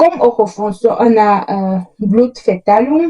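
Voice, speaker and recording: The woman's voice is fairly high in pitch, somewhat breathy, and dark and mellow in tone. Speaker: educational youtuber. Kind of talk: tutorial. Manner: halting.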